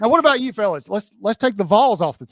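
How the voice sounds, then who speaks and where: In a Southern US accent, a man talks at a very fast pace. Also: dry, close sound with no echo. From Alabama. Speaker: podcast host. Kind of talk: interview on live stream. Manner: animated.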